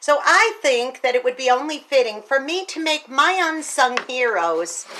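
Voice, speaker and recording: A raised, projected voice at a moderate pace, with very wide pitch swings and noticeable background noise. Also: woman, high pitch for a woman. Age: 60s. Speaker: teacher and speaker. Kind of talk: casual video monologue. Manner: animated.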